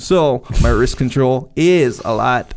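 A man's medium-pitched voice with ordinary pitch variation and vocal fry. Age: 40s. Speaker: podcast co-host. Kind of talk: casual chat.

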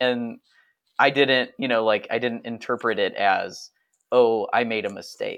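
A man speaks in a Northeast Ohio accent at a fairly slow pace. The background is quiet. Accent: Northeastern Ohio, general American. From Akron, Ohio. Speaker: podcast co-host and comedian. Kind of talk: casual chat.

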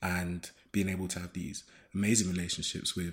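A man talks with a London accent. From London (Shoreditch). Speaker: video editor. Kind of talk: casual chat. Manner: halting.

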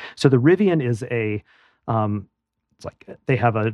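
At a moderate pace and medium pitch, a man with an American accent speaks with ordinary pitch variation, the sound dry and close with no echo against a quiet background. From US Midwest, Madison, Wisconsin. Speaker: tech entrepreneur and author. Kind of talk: interview.

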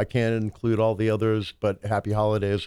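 A man at a fairly low pitch with an American accent, very fast pace, very clean recording and silent background. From US military family, Southern parents. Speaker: musician and economics commentator. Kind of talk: casual chat.

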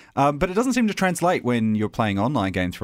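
A man with an Australian accent in a very clean recording with a silent background. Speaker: podcast host. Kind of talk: casual chat.

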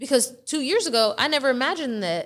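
A woman's high voice with very wide pitch swings at a fairly quick pace, in a very clean recording with a silent background. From Ethiopian heritage. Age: 20s. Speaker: real estate wholesaler. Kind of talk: interview.

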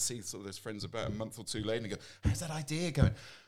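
A man talks in a fairly low voice with ordinary pitch variation. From England. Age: 40s. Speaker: entrepreneur. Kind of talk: casual interview chat.

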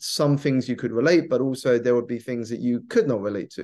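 A man with a southern English accent, ordinary pitch variation and a quiet background. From southeast England. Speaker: coach, author and keynote speaker. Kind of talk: podcast interview.

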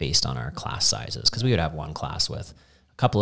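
Vocal fry colors the voice of a man speaking at a fairly quick pace. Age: 40s. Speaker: CrossFit coach and gym owner. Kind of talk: casual chat.

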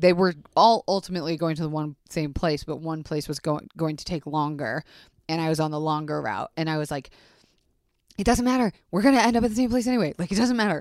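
Speaking at a very fast pace, a woman sounds animated, her intonation lively. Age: 30s. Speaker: podcast host. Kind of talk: casual chat.

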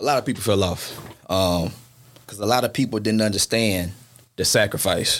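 A man with an American accent speaks at a moderate pace in a fairly low pitch with ordinary pitch variation. His loudness swings a lot, and he takes long, frequent pauses. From US South, Shreveport, Louisiana. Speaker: fraternity executive. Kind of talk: casual interview.

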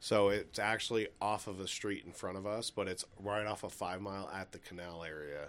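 A man's fairly low voice at a moderate pace, with hardly any pauses. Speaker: podcast co-host. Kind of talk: casual chat. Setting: studio. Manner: animated.

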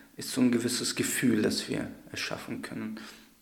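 A man's voice comes through audible room echo over noticeable background noise. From Hesse, Germany (Darmstadt). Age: 20s. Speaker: law researcher and community advocate. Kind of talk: interview.

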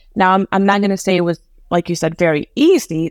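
In a very clean recording with a silent background and a dry, close sound with no echo, a woman with an American accent uses a normal speaking voice at medium pitch and a fairly quick pace. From Afghanistan, raised in the US. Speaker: HR professional. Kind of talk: interview conversation.

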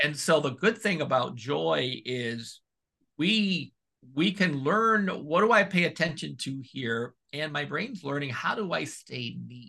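A man with a fairly high pitch speaks at a fairly slow pace against a quiet background. His bright, sharp tone carries vocal fry and lively intonation. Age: 40s. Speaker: pastoral counselor and author. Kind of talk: interview.

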